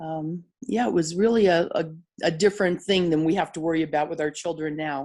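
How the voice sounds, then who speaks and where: A woman with an American accent and a fairly low pitch, at a fairly quick pace with ordinary pitch variation, on a very clean recording with a silent background. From northeastern Pennsylvania, Mountaintop. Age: 60s. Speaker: interviewee, local resident. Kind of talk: interview.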